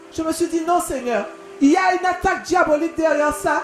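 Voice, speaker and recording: A woman's extremely high-pitched voice with ordinary pitch variation, music playing behind it. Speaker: pastor. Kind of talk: sermon.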